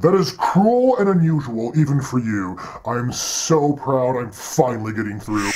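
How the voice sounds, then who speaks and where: The man keeps a medium pitch and a moderate pace. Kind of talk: comic villain acting. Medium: comedy sketch. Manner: taunting, gloating, sarcastic.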